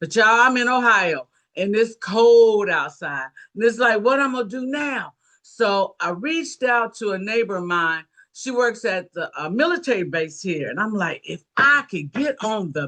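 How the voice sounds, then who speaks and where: In an animated, bright and sharp tone, a woman talks at a fairly high pitch with very wide swings in pitch. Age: 70s. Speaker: network marketing team member. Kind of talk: testimony.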